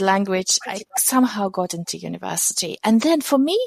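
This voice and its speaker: A woman with a non-native accent speaks at medium pitch in a dry, close sound with no echo. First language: not English. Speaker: tech company founder and CEO. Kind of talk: interview.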